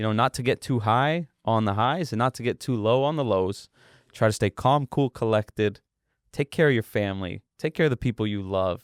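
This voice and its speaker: On a very clean recording with a silent background, a man with a normal speaking voice and medium pitch talks at a fairly quick pace with ordinary pitch variation. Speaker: boxing event promoter. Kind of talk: podcast interview.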